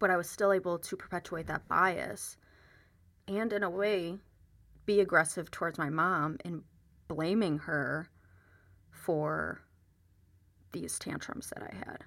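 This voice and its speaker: In a very clean recording with a silent background, a woman with an American accent speaks at a fairly low pitch with vocal fry and ordinary pitch variation. Her pace is fairly slow, with long, frequent pauses. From United States. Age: 20s. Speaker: podcast host. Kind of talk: solo podcast monologue.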